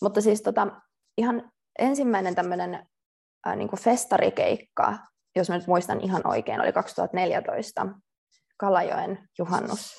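This woman's talking is very slow, broken by long, frequent pauses. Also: quiet background. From Finland, Tampere. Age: 20s. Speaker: dancer. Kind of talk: interview. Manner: hesitant, many fillers.

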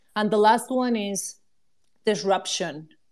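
The recording is very clean, with a silent background. A woman speaks with a Spanish accent and ordinary pitch variation. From Mexico. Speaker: NFT project co-founder. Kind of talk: casual panel conversation.

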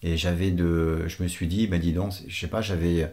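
On a very clean recording with a silent background, a man speaks fairly slowly in a very deep, low pitch. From Portugal. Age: 50s. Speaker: father of the host, public transport worker. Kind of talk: casual chat.

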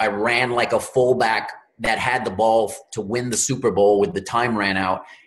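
A man's unremarkable speaking voice at a medium pitch, with an American accent, moderate pace and ordinary pitch variation. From Louisiana, US Gulf Coast. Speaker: real estate investor. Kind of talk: podcast interview.

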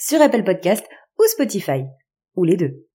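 This woman's voice has a dark, mellow tone. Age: 30s. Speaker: podcast host. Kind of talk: scripted narration.

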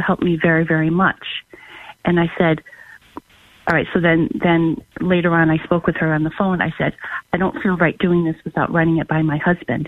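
With a normal speaking voice, a woman talks at a moderate pace, her fairly low pitch held in fairly even intonation. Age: 50s. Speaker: caller. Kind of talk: phone-in question.

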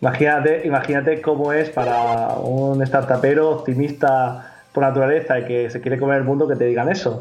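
A man's medium-pitched voice at a moderate pace with fairly even intonation, amid audible room echo and noticeable background noise. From Spain, Murcia. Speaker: startup founder. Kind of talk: interview.

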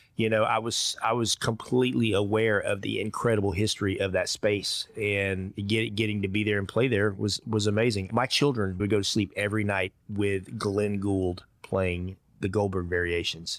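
A man with a strong Georgia accent speaks at a moderate pace in a fairly low voice, his intonation fairly even, his loudness very even, and with hardly any pauses. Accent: thick Georgia (Southern US). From rural Georgia. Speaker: orchestra trombonist and music professor, podcast guest. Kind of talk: conversational interview.

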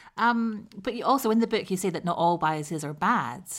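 A woman with a southern English accent and lively intonation. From southern England. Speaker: podcast host. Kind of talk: interview. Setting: remote recording.

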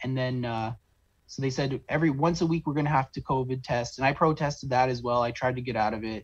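A somewhat breathy man talks at a very fast pace and a medium pitch, with fairly even intonation. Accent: Canadian. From Southern Ontario, Canada (St. Catharines). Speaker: oil field worker telling his story. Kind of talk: interview. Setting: video call.

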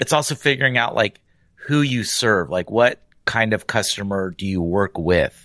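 A man's bright, sharp voice, fairly low in pitch, with lively intonation at a moderate pace, dry and close with no echo. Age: 40s. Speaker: podcast co-host and podcast producer. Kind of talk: casual chat.

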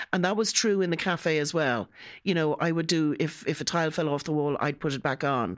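At a fairly quick pace, a woman with a Dublin accent speaks in a very deep, low voice with ordinary pitch variation, captured in a very clean recording with a silent background. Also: very even loudness. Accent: Irish (Dublin). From Ireland. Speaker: home care office manager. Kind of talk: podcast interview. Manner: animated.

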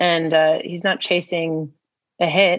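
Here a woman talks at a fairly slow pace with fairly low pitch. She has an ordinary speaking voice. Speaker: podcast host and singer. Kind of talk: casual interview chat. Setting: outdoors on a beach in Mexico for the intro.

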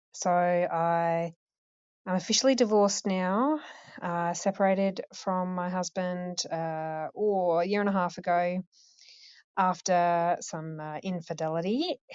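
Fairly low for a woman, her voice is a plain, everyday voice with fairly even intonation. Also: fairly slow pace. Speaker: caller going through chemo. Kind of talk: voicemail message. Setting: phone call.

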